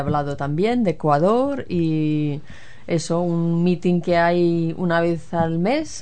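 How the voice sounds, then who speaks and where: A woman speaks at a very slow pace with a fairly low pitch. Some room echo can be heard. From Spain, Galicia. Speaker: guest. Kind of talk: casual chat.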